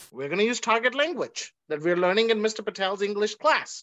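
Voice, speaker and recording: Against a quiet background, a man speaks at a fairly quick pace. His pitch is high and his intonation lively. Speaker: language teacher and nonprofit founder. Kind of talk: webinar presentation. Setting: video call. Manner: animated. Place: home room. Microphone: video call.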